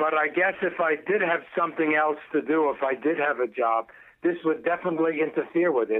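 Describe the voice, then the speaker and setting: At a moderate pace, a man with a fairly high pitch and ordinary pitch variation speaks in an unremarkable speaking voice. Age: 60s. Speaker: caller, laid-off telecom worker. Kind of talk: casual chat. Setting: phone call.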